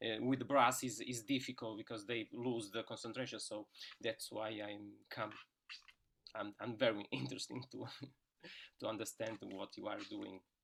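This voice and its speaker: A man talks at a moderate pace with fairly even intonation and vocal fry. He leaves long, frequent pauses. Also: medium pitch for a man. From Portugal. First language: Portuguese. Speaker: tuba player and brass teacher. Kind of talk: casual chat. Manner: halting.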